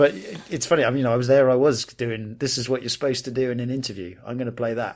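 The speaker has an American accent and talks at a very fast pace. The intonation stays fairly even. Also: man, medium pitch for a man. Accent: British, shifts toward American abroad. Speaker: podcast co-host. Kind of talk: casual chat. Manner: halting, hesitant.

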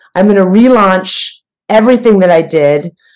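A woman's fairly slow, lively speech in a plain, everyday voice, medium in pitch, with an American accent. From US Midwest. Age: 40s. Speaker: fitness trainer. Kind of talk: casual chat.

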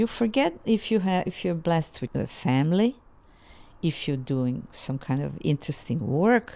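In a Bosnian accent, the speaker uses a dark, mellow tone with very wide pitch swings at a moderate pace. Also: woman, fairly low pitch for a woman. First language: Ladino or Bosnian. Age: 80s. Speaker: folk singer. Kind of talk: interview, personal life story. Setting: living room at home.

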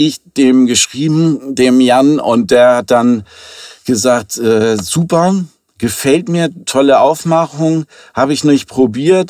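Speaking at a very slow pace, a man with a medium pitch keeps his loudness very even and his pitch variation ordinary. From Hamburg, Germany. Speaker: drinks entrepreneur. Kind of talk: interview. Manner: hesitant, many fillers.

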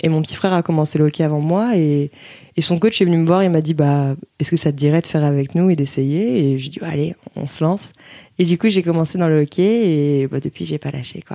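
With a very deep, low pitch and a dark, mellow tone, a woman talks at a fairly quick pace with ordinary pitch variation. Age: 20s. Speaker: field hockey goalkeeper. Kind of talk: interview. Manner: hesitant, many fillers.

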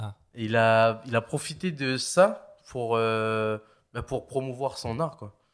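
Captured in a very clean recording against a silent background, a man speaks very slowly with big swings in loudness. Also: medium pitch for a man, ordinary pitch variation. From New Caledonia. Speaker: parkour athlete and comedian. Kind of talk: casual chat. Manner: animated.

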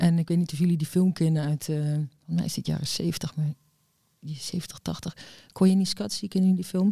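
A woman speaks in a fairly low pitch with a dark, mellow tone, somewhat breathy, at a moderate pace. Her intonation stays fairly even, and the sound is dry and close with no echo. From Netherlands, Overijssel and Amsterdam. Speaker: DJ. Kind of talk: casual chat. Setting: villa at park edge.

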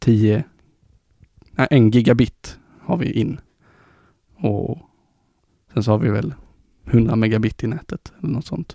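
A man's medium-pitched voice with vocal fry and a dark, mellow tone, ordinary pitch variation, a fairly slow pace, long, frequent pauses, and a dry, close sound with no echo. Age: 20s. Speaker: tech podcast host. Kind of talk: casual chat. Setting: studio.

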